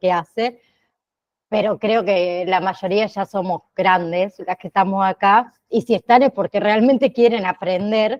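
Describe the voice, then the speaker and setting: Here is an unremarkable speaking voice from a woman at a medium pitch. The sound is dry and close, without echo. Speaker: online course teacher. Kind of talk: online class. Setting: video call.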